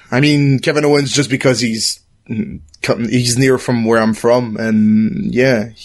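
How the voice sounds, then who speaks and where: At a fairly slow pace, a man speaks at a medium pitch with ordinary pitch variation and very even loudness. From Quebec. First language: French. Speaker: gaming community guest. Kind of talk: casual chat.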